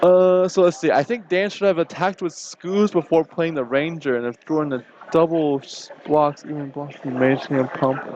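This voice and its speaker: Over noticeable background noise, a man speaks at a moderate pace with hardly any pauses, his fairly high pitch showing ordinary variation. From China. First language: Chinese. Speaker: card game tournament commentator. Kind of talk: live commentary.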